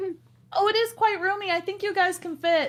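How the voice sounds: A woman puts on a squeaky character voice at an extremely high pitch. She moves at a fairly quick pace.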